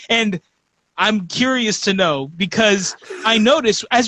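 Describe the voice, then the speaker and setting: A man speaks at a moderate pace. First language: Spanish. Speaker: podcast host. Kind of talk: casual chat. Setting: live stream on social media.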